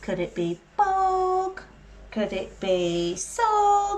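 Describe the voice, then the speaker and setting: The speaker uses a put-on character voice. Very wide swings mark the pitch. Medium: read story. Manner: exasperated.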